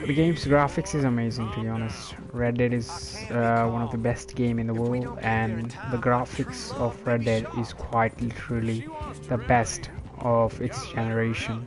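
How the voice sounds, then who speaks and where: Over music in the background, a man talks at a moderate pace and medium pitch with fairly even intonation. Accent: non-native. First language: not English. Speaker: gaming streamer. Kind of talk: casual gameplay commentary. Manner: halting, many fillers.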